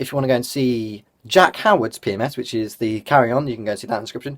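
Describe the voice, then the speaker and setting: A man with a British accent speaks very fast, with hardly any pauses. His pitch is medium and varies in an ordinary way, while his loudness swings widely. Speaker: vlogger. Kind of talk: vlog. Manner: casual, filler-heavy.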